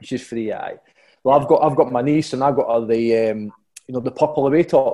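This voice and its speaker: A man with a Scottish accent talks fairly quickly in a dark, mellow tone at medium pitch, keeping his intonation fairly even. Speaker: football player. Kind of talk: casual interview answers.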